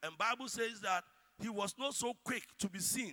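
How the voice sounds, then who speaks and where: In a raised, projected voice, a man with a Ghanaian accent speaks at a fairly slow pace in a high pitch with a bright, sharp tone. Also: dry, close sound with no echo. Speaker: preacher. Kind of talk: sermon.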